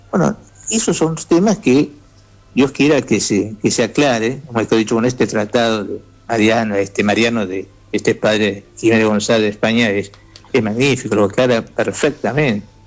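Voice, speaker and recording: Music can be heard in the background. Over it, a man talks at a moderate pace. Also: medium pitch for a man, ordinary pitch variation. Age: 70s. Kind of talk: radio interview, religious teaching. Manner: halting, with frequent repetitions and fillers.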